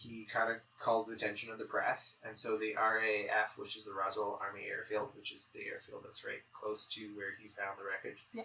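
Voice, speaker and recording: A man's voice shows big swings in loudness against noticeable background noise. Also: moderate pace. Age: 30s. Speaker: podcast co-host. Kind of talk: casual chat. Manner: animated.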